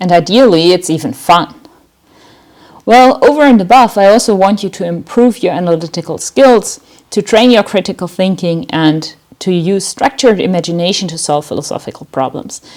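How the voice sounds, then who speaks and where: Speaking with a German accent, a woman has lively intonation. Her pace is moderate. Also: medium pitch for a woman. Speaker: university lecturer. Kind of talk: lecture. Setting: online lecture recording.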